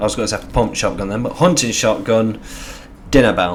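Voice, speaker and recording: With audible room echo, a man with an English accent speaks at medium pitch in an animated tone. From England. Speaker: gaming youtuber. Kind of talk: video game commentary. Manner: casual and animated.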